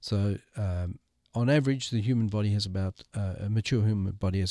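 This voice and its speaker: A man with a fairly low, dark and mellow voice talks at a moderate pace in a dry, close sound with no echo, on a very clean recording with a silent background. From South Africa. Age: 60s. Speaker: missional movement strategist and author. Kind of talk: interview.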